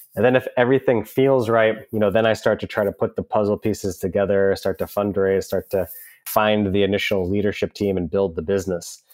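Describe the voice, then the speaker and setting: A man with an American accent and an unremarkable speaking voice, fairly low in pitch, fairly even in intonation, at a fairly quick pace, in a dry, close sound with no echo. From US Northeast, south of Boston. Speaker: entrepreneur. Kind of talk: interview conversation.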